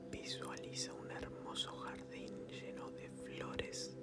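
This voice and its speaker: With music playing behind him, a man talks very slowly. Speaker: ASMR meditation guide. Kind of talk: guided sleep meditation. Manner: soft-spoken, whispered, slow.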